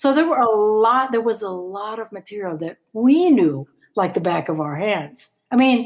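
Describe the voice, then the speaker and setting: In a very clean recording with a silent background, a woman with a fairly high voice speaks at a moderate pace in an animated tone, her pitch swinging very widely. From Philippines, Manila. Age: 70s. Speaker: rock guitarist and singer. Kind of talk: interview.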